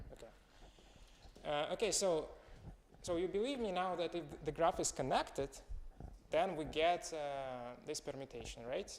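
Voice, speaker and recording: Here a man with a Russian accent speaks at a moderate pace. His pitch is high and his intonation lively. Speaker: student presenting a proof. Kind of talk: seminar presentation. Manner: halting.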